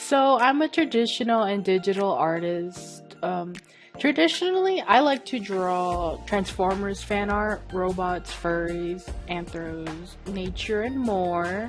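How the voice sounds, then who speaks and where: A woman's fairly slow, lively-toned voice with music in the background. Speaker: traditional and digital illustrator. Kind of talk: casual art vlog talk.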